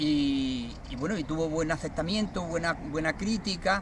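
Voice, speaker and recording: Rather slow speech from a man with a somewhat high voice and normal pitch movement. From Andalusia, Cádiz province (Vejer, Barbate). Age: 60s. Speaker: poet. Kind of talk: interview. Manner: halting, many fillers and repetitions.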